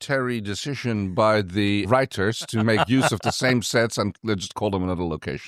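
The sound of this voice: Pitch variation is ordinary. The delivery is an unforced reading voice.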